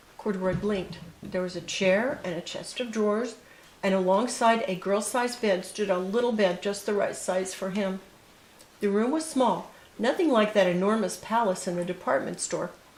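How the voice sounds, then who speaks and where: Against noticeable background noise, a woman talks at a moderate pace with medium pitch and ordinary pitch variation. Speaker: grandmother reading to grandchildren. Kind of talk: children's story read-aloud.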